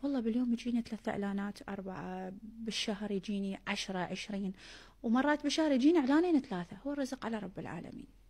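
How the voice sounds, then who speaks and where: Somewhat breathy, a woman with a Baghdad accent speaks at a fairly quick pace with hardly any pauses, her fairly high pitch moving in lively intonation. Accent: Baghdadi Iraqi Arabic. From Iraq, Baghdad. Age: 20s. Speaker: social media influencer. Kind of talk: street interview.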